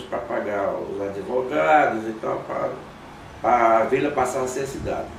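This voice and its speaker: Noticeable background noise and audible room echo fill the recording. The delivery is fairly slow. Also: man. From Alagoas, northeast Brazil. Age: 70s. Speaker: guitarist. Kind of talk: interview. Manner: halting, repeats words.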